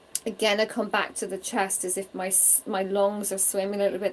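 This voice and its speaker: The speaker has a Donegal Irish accent and a warm tone. The pace is moderate. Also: woman. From Ireland. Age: 40s. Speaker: psychic medium. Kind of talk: live spirit reading stream. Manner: warm, conversational.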